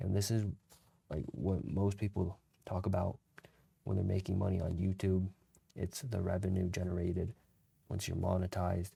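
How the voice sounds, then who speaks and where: Quiet and somewhat breathy, a man with a very deep, low pitch and a dark, mellow tone talks with fairly even intonation and long, frequent pauses. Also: moderate pace. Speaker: content creator. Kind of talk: casual tutorial. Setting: at home late at night. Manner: quiet, low volume; casual slangy rambling.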